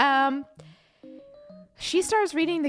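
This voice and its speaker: Speaking with a non-native accent, this voice keeps to a moderate pace. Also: woman. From Ukraine. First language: not English. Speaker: livestreamer. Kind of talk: casual livestream chat. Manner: halting, many fillers and repeats; animated.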